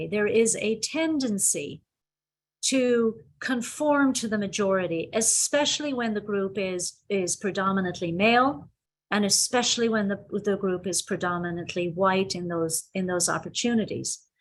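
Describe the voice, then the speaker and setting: With an Irish accent, a woman talks at a moderate pace in a medium pitch, her intonation lively against a quiet background. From Ireland. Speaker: psychologist and university president. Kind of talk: webinar presentation. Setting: video call.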